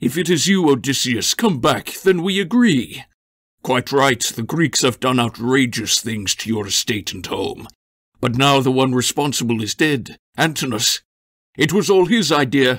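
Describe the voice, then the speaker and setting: This man puts on a character voice. It sits at a medium pitch. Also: moderate pace. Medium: read story. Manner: pleading, wheedling.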